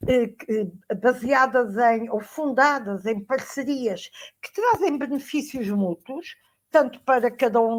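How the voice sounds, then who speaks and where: Woman with a European Portuguese accent, at a fairly slow pace with ordinary pitch variation. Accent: European Portuguese, closed vowels. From Portugal. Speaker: education professor, panelist. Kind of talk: academic conference talk. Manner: halting, frequent fillers.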